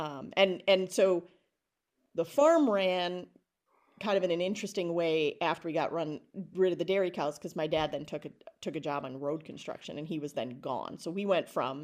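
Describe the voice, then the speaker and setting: Here a woman speaks in an Upper Midwest accent. She moves at a fairly quick pace with ordinary pitch variation. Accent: Upper Midwest American. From rural Wisconsin (Alma Center). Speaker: education consultant, former teacher. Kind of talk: casual interview.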